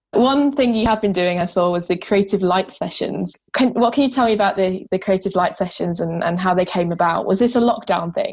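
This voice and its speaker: A woman with an ordinary speaking voice at medium pitch, ordinary pitch variation, very even loudness and hardly any pauses. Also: fairly quick pace. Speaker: radio presenter. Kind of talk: radio show presenting. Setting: radio studio.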